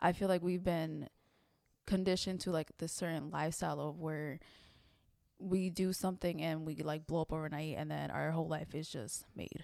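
With a dark, mellow tone, a woman talks at a moderate pace in a very deep, low pitch with fairly even intonation. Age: 20s. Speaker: podcast host and content creator. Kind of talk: casual chat.

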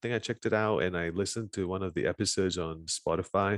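Against a quiet background, a man with a very deep, low pitch and ordinary pitch variation talks at a fairly quick pace, in a dry, close sound with no echo. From Malaysia. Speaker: content creator and podcaster. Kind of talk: casual chat. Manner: animated, repeats words often.

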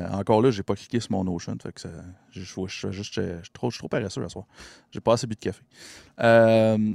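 A man with a Quebec accent at a fairly low pitch, fairly slow with long, frequent pauses, in a very clean recording with a silent background and a dry, close sound with no echo. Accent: Québécois French. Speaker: podcast host. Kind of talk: casual chat. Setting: live stream.

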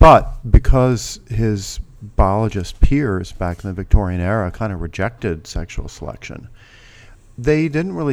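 A man with a plain, everyday voice, fairly low in pitch, lively intonation and a moderate pace, on a very clean recording with a silent background. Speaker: professor, evolutionary psychologist. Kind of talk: casual interview conversation.

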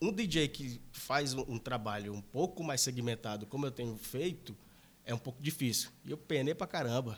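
This man speaks at a moderate pace, his medium pitch showing ordinary variation. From interior of Maranhão, Brazil. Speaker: electronic music DJ and producer. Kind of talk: casual chat.

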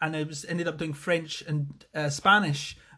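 With a Scottish accent, a man talks at a moderate pace in a bright, sharp tone. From Scotland, Falkirk. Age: 30s. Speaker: podcast host, wellness coach. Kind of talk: casual monologue. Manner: halting, many fillers.

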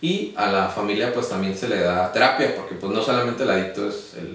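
Over noticeable background noise and audible room echo, a man with a fairly low pitch speaks at a moderate pace with ordinary pitch variation. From Mexico City, then Baja California. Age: 20s. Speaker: local government official and student. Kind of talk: interview. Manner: halting.

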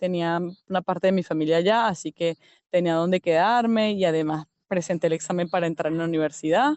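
Speaking at a very fast pace, a woman keeps a fairly low pitch, very even loudness and fairly even intonation. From Venezuela, Yaracuy state (San Felipe). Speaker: language teacher, emigrant. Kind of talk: interview testimony. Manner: halting, with fillers.

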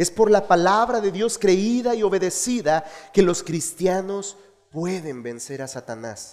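With big swings in loudness, a man in a high voice speaks at a fairly slow pace, his tone animated and warm and his intonation lively. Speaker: pastor. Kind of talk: sermon. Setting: church. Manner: earnest, didactic preaching, repeating key phrases for emphasis; exhorting the congregation, animated and warm.

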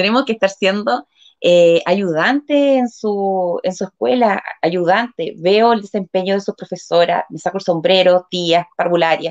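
Speaking at a fairly slow pace with hardly any pauses, a woman uses a plain, everyday voice at medium pitch with ordinary pitch variation, recorded dry and close with no echo. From Chile, Concepción. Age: 40s. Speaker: local council candidate, community leader. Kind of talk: interview. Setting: live stream.

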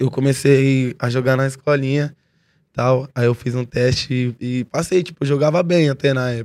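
Speaking at a moderate pace with a São Paulo accent, a man keeps his intonation fairly even. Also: medium pitch for a man. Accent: São Paulo Portuguese (paulistano). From São Paulo, East Zone. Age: 20s. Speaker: rapper. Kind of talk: casual chat.

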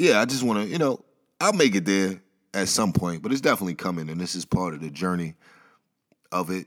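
A man's very deep, low voice at a very fast pace with lively intonation and long, frequent pauses, in a very clean recording with a silent background. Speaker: podcast host. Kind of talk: solo monologue podcast. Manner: casual, off the cuff.

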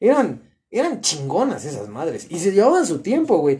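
Animated delivery at a moderate pace. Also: man. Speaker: podcast host. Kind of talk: casual chat.

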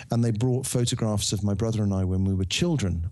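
With a Birmingham accent, a man speaks in a dark, mellow tone at a fairly low pitch with ordinary pitch variation, captured in a very clean recording with a silent background. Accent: Birmingham (Brummie). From Birmingham, England. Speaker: novelist. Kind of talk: interview.

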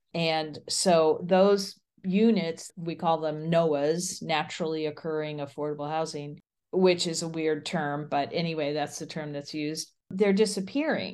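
A woman with a Midwestern US accent and a very deep, low pitch speaks at a moderate pace. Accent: General American, Midwestern. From US Midwest. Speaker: urban planning professor. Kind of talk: interview.

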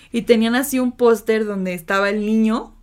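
Recorded very cleanly with a silent background, a woman speaks at a fairly high pitch. Her pace is moderate and her pitch varies in an ordinary way. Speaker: podcast co-host. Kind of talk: casual chat.

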